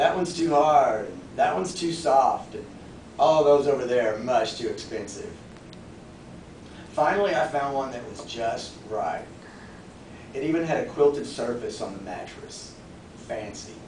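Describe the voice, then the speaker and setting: A man's fairly high-pitched voice with lively intonation and long, frequent pauses at a moderate pace, amid noticeable background noise and audible room echo. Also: big swings in loudness. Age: 40s. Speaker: public speaking club member. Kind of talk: prepared speech.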